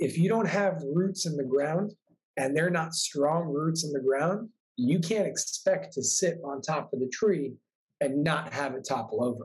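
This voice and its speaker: A man with a fairly high pitch, a normal speaking voice, ordinary pitch variation and an American accent. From New York. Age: 20s. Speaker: spiritual coach and author. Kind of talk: casual interview.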